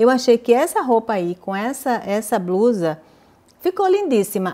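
A woman's dark, mellow tone unfolds at a moderate pace. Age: 50s. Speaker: fashion YouTuber. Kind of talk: fitting-room haul vlog. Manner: animated.

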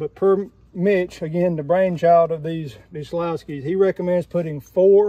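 A man speaks at a moderate pace with high pitch and fairly even intonation. The sound is dry, with no echo. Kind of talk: tutorial. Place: street. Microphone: phone near.

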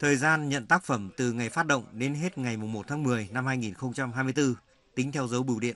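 A man talks at a moderate pace in a bright, sharp tone. His pitch is medium, with ordinary variation. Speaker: news reporter. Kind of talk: scripted narration.

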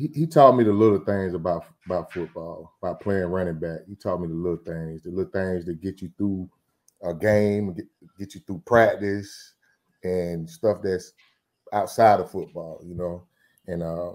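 A man with a very deep, low voice speaks at a moderate pace, his loudness swinging widely and his pitch varying in an ordinary way. The background is quiet. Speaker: guest. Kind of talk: interview answer. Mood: warm, reminiscing. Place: home room. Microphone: video call.

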